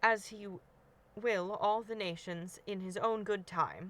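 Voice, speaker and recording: Putting on a nasal character voice, a woman speaks at a medium pitch with fairly even intonation. Her pace is fairly slow. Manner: pious, sanctimonious.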